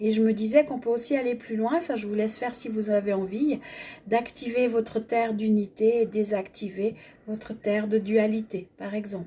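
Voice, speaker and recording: Fairly high-pitched, somewhat breathy speech from a woman, at a moderate pace with fairly even intonation. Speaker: energy healing facilitator. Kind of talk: guided energy exercise. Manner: stammering at times.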